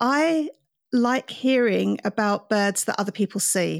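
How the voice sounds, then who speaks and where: A woman with an English accent at a fairly slow pace, on a very clean recording with a silent background. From England. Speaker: podcast host, birder. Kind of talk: interview.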